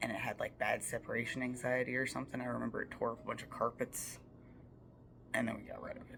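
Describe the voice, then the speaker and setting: At a very fast pace, someone whispers against noticeable background noise. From Appalachia. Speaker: storyteller. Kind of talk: casual storytime monologue. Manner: casual, many fillers.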